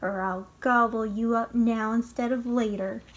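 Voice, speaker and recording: A woman uses a put-on character voice at a fairly high pitch, keeping a monotone, flat intonation. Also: moderate pace. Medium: read story.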